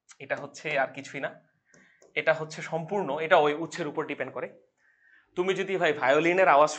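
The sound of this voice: A man puts on a hoarse character voice, fairly high in pitch, with fairly even intonation. He talks at a fairly quick pace, and his loudness swings widely.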